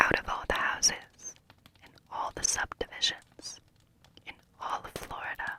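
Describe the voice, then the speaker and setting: A woman whispering at a moderate pace, with long, frequent pauses, big swings in loudness and noticeable background noise. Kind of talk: novel reading. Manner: whispered.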